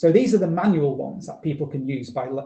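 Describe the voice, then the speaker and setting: A man with a northern British accent talks very fast. His fairly high voice has a dark, mellow tone and ordinary pitch variation. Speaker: researcher presenting a talk. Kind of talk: conference presentation.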